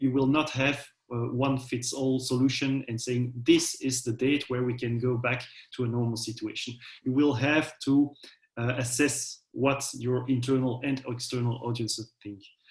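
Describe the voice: Speaking at a moderate pace, a man holds a medium pitch with little pitch movement.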